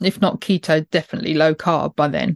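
Fairly even intonation and a British accent come through at a moderate pace, with a dry, close sound with no echo and a quiet background. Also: woman. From UK. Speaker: podcast host. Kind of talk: interview with scripted intro.

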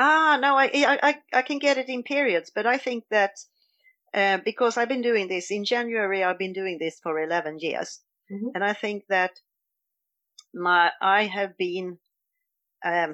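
Speaking with a Swedish accent, a woman moves at a moderate pace with lively intonation and long, frequent pauses. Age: 50s. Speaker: dietary coach, retreat organiser. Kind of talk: interview. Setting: laundry room, remote call.

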